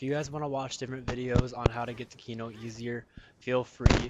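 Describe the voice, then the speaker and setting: Enthusiastic in tone, a man speaks fairly quickly at a medium pitch with noticeable background noise behind him. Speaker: gaming youtuber. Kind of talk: tutorial. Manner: casual, enthusiastic; stuttering at times.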